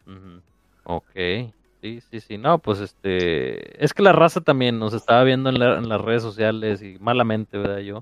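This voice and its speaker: A man's ordinary speaking voice, medium in pitch, with lively intonation at a moderate pace, in a dry, close sound free of echo. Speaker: podcast host. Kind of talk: casual chat. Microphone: connection problems, audio may cut out.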